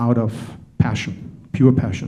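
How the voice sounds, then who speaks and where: In a slight German accent, a man talks with a dark, mellow tone and monotone, flat intonation, and the room echo is audible. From Germany. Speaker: panel moderator, tech entrepreneur. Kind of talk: conference talk.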